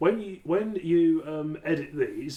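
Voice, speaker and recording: A man with a British accent speaks against noticeable background noise. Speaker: podcast co-host. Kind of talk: casual chat. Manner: loud.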